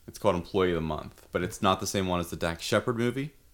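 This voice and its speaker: The pitch here is very deep and low. It belongs to a male speaker. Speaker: podcast host. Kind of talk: casual banter. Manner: joking, irreverent.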